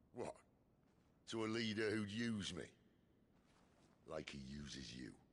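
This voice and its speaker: A man puts on a growling character voice at a fairly low pitch. His pitch swings very widely at a moderate pace. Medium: video game. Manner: wry, casual.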